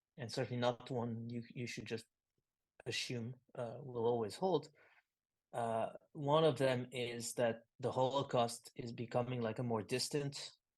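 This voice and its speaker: A man speaks with a French accent at a medium pitch. His pace is fairly slow and his intonation fairly even. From France. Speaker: philosopher and writer. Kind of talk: interview conversation. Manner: halting, many fillers.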